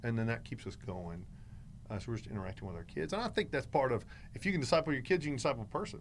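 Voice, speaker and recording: A man with a North Carolina accent talks at a very fast pace in a medium-pitched voice with vocal fry, his pitch swinging very widely. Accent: Southern US (North Carolina). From North Carolina, near Greensboro. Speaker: pastor. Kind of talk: casual interview.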